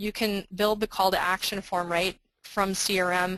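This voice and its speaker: A woman speaks in a bright, sharp tone with monotone, flat intonation. The background is quiet. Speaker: software marketing presenter. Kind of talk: webinar product demo. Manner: fast.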